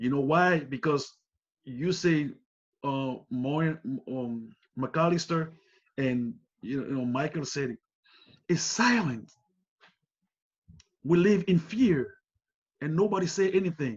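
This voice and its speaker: A man's fairly high voice with a non-native accent, very slow and lively in intonation, with long, frequent pauses. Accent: foreign. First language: not English. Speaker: community leader. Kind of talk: panel discussion.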